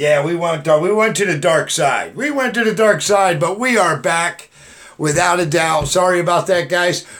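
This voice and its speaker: A man speaks loudly in an animated tone. His pitch is high for a man, with ordinary variation. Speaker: YouTube livestream host. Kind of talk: live stream chat.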